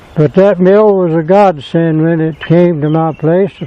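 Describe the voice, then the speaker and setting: Someone with an American accent speaks against noticeable background noise. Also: man. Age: 80s+. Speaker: sawmill operator and retired farmer. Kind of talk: casual interview talk.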